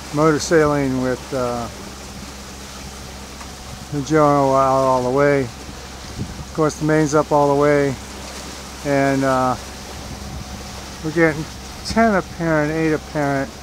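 The recording has a dry sound with no echo but carries noticeable background noise. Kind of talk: casual vlog commentary. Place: boat. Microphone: phone near.

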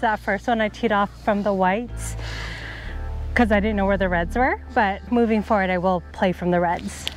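At a fairly quick pace, a woman speaks with very even loudness in a dry sound with no echo, faint music playing in the background. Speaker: golfer vlogger. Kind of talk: casual vlog chat. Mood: playful, self-mocking. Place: open country.

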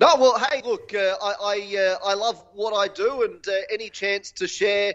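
The speaker has an enthusiastic tone and an Australian accent. Pace is moderate and pitch variation ordinary. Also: man. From Australia, Gold Coast. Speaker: filmmaker and stand-up comedian. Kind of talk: casual interview.

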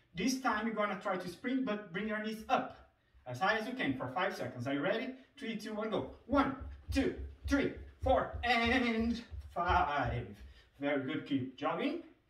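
Over audible room echo, a man speaks at a fairly slow pace with very wide pitch swings. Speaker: fitness coach. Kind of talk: exercise instruction. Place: home room. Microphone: camera far.

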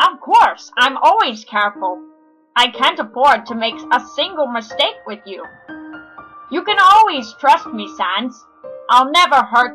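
A man puts on a cartoonish character voice at a fairly slow pace, with faint music in the background. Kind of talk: comic overacting. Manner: boastful, loud, caring.

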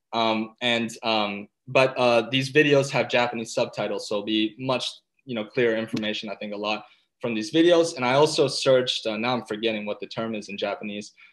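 A man speaks at a fairly low pitch and a fairly quick pace. His tone is fairly bright, with ordinary pitch variation.

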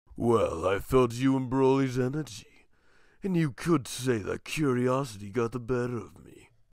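A man puts on a character voice at a medium pitch with a smug, amused tone, in a very clean recording with a silent background. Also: moderate pace. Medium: comedy sketch. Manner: smug, condescending, amused.

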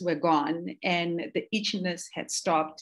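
A woman speaking at a fairly slow pace against a quiet background. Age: 50s. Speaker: skincare entrepreneur; interview guest, speaker. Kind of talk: interview. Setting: livestream. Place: home room. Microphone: video call.

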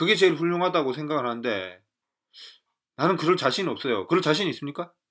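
This man talks at a fairly quick pace in a fairly high pitch, his bright, sharp tone carrying vocal fry and very wide pitch swings. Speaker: political commentator. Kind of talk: lecture. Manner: halting.

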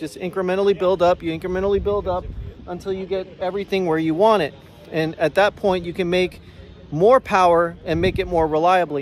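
A man speaks at a fairly quick pace in a high pitch, the sound dry with no echo and light noise in the background. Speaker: car enthusiast vlogger. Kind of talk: casual vlog commentary. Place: street. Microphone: phone near.

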